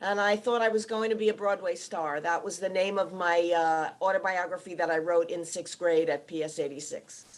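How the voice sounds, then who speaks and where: A woman with an American accent has a plain, everyday voice, pitched fairly low, with ordinary pitch variation. She talks at a moderate pace over a quiet background. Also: hardly any pauses. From New York City (Bronx). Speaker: TV producer. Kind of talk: panel discussion. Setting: video call from home.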